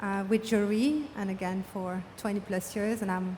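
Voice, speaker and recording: Speaking at a fairly quick pace, a woman with a medium-pitched, somewhat breathy voice keeps her intonation fairly even. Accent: French. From France. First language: French. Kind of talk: panel discussion.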